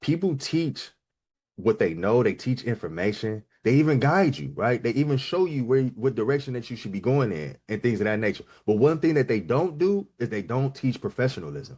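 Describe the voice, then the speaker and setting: A man talks at a fairly quick pace and medium pitch. His pitch swings very widely. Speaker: business coach. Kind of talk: live online coaching session. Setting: livestream with chat. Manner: fast; casual, rough around the edges.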